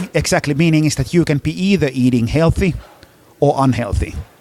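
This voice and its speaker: The man talks at a fairly quick pace with lively intonation. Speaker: education innovation founder. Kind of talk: podcast interview answer.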